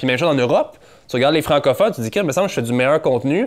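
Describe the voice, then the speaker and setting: A man with a Quebec accent speaks at a medium pitch with lively intonation. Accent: Québécois French. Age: 30s. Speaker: entrepreneur and podcaster. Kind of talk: casual interview conversation.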